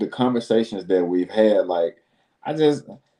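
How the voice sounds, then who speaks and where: The speaker is a man with a fairly low voice. He has a Southern US accent. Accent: Southern drawl. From Alabama, Birmingham. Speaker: business consultant and show host. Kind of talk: casual interview chat. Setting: live video stream. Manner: animated.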